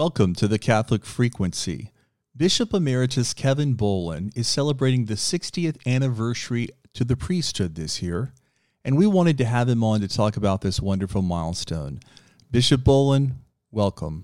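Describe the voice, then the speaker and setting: A man speaks at a moderate pace and a medium pitch, his voice swinging very widely up and down. The recording is very clean, with a silent background. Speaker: radio host. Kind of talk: interview.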